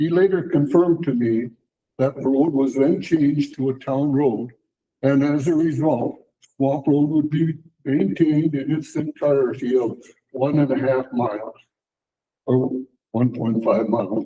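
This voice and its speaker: A man with an Upper Midwest accent speaks at a fairly slow pace in a dark, mellow tone, with ordinary pitch variation and long, frequent pauses. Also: fairly high pitch for a man. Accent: Upper Midwest American. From Wisconsin, US Midwest. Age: 80s+. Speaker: resident speaking at public comment. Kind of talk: prepared statement read aloud. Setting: town board meeting.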